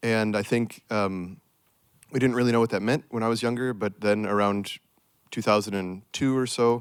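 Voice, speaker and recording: With an American accent, a man talks at a moderate pace in a medium pitch, his intonation fairly even, a plain, everyday voice. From United States. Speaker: restoration ecologist, project manager. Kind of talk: panel discussion.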